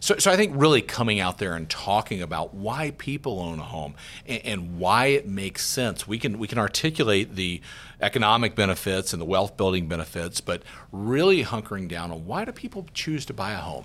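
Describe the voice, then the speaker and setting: With an American accent and a normal speaking voice, a man talks at a fairly quick pace in a fairly low pitch with lively intonation, on a very clean recording with a silent background. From US South, Georgia. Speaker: real estate market analyst. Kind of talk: interview.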